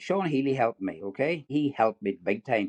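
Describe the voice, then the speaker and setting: Here a man speaks with an Irish accent. His pitch sits fairly high. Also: dry, close sound with no echo. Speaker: retired dentist and triathlete. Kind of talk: podcast interview. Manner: halting, many repeated words.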